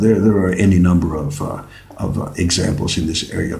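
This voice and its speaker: Male speech amid noticeable background noise, carrying audible room echo. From Mexico. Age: 60s. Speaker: tango teacher and vlogger. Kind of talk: product review vlog. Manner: halting, repeats words.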